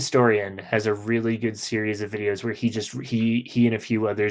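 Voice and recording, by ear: Text read aloud in a natural voice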